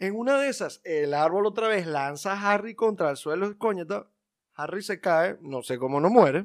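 A man's voice at a moderate pace with lively intonation, in a very clean recording against a silent background. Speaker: film podcast co-host. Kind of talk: casual chat.

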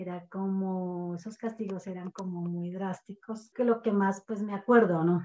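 Speaking at a fairly slow pace with hardly any pauses, a woman has a medium pitch, a dark, mellow tone and fairly even intonation. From Colombia, rural village of San Lorenzo. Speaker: podcast guest, mother of a co-host. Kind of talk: casual storytelling interview.

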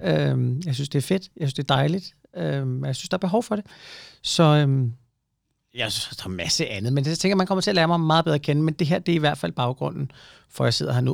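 Very fast speech from a man, very cleanly recorded with a silent background. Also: dry, close sound with no echo. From provincial Denmark. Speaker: podcast host. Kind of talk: casual chat.

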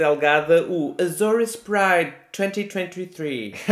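A man's high voice rises and falls with lively intonation as noticeable background noise continues behind it. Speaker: podcast co-host. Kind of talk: casual chat.

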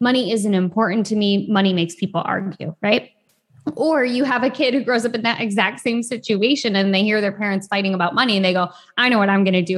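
A woman with an American accent talks very fast at a medium pitch, her pitch varying in an ordinary way. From US Midwest, rural Michigan. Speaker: financial therapist. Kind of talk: interview.

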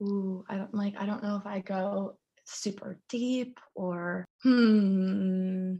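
A woman, somewhat breathy, with medium pitch, a dark, mellow tone and a very slow pace. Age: 20s. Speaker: YouTuber and former model. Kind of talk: casual interview chat about mental health. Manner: animated.

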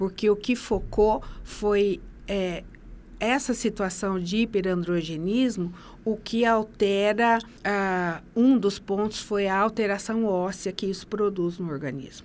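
A woman at a very slow pace, ordinary pitch variation, in a very clean recording with a silent background. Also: medium pitch for a woman. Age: 50s. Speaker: nurse and master's graduate. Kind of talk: interview. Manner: halting, many fillers.

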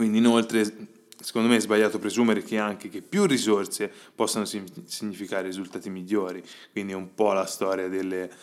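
He speaks at a moderate pace with a fairly low pitch. The man's intonation is fairly even. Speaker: podcast host and agile coach. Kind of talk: solo podcast monologue. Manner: hesitant, with fillers.

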